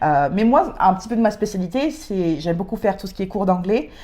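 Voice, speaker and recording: Dark and mellow in tone, the woman speaks with ordinary pitch variation. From France and Britain. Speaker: podcast co-host, civic service volunteer. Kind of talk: casual chat. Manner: hesitant, many fillers.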